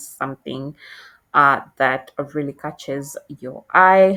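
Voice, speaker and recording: The woman's tone is bright and sharp, with ordinary pitch variation. She speaks with a non-native accent. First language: not English. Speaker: tutorial creator. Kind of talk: tutorial. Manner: halting, many fillers.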